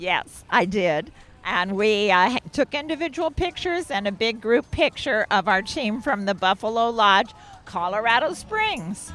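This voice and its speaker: A woman speaks at a fairly slow pace with very wide pitch swings. Her pitch is fairly high. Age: 70s. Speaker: cyclist interviewed at event. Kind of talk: casual interview.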